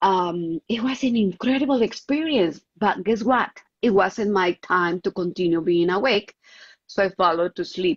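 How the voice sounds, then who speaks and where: A woman with a Colombian accent, medium pitch, lively intonation and a fairly slow pace. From Colombia, Bogotá. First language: Spanish. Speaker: contactee, clairvoyant. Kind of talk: interview testimony. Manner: halting, searching for English words.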